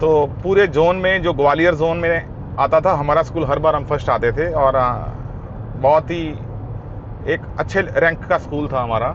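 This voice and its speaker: Noticeable background noise surrounds a man speaking at a fairly high pitch. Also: fairly even intonation. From India, army postings (Siliguri, Sagar MP). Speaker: motorcycle vlogger. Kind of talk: casual vlog storytelling. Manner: casual, hesitant with fillers.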